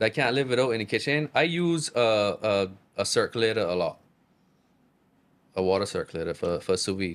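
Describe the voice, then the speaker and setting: In a Barbadian accent, a man at medium pitch talks at a fairly quick pace with lively intonation and long, frequent pauses, on a very clean recording with a silent background. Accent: Barbadian accent, kept natural. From Barbados. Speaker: chef. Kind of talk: casual chat. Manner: casual, repetitive.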